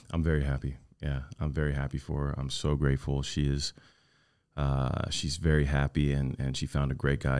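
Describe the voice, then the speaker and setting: A man with a Southern Californian accent speaks in a very deep, low pitch. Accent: Southern California American. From Orange County, California. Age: 30s. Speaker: actor and entrepreneur. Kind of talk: casual chat.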